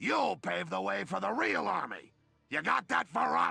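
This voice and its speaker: Putting on a character voice, a man sounds raspy at a fairly low pitch. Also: moderate pace. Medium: video game. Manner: pompous, condescending.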